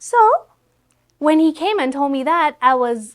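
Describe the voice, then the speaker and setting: Intonation rises and falls lively as a woman talks. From Ethiopia. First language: Amharic. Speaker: content creator. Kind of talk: interview conversation.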